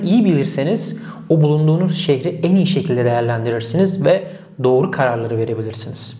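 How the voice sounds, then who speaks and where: With very even loudness, a man talks at a fairly quick pace and with lively intonation. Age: 30s. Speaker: e-commerce consultant; e-commerce educator. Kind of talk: tutorial. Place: office. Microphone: lapel.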